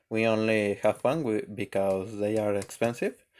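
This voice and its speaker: With a non-native accent, a man speaks at a fairly low pitch with fairly even intonation. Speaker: electronics maker. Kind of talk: tutorial. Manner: halting, repeats words.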